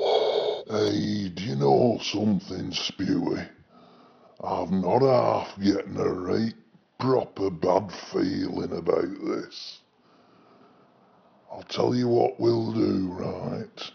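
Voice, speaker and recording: A man puts on a character voice, talking at a very slow pace broken by long, frequent pauses. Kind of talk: comedy character sketches.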